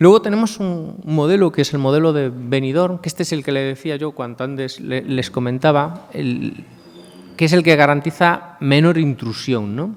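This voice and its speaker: The speaker is a man with a fairly high pitch. He keeps a moderate pace and ordinary pitch variation. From Galicia, Spain. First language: Galician (speaking Spanish). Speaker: law professor. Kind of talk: conference talk.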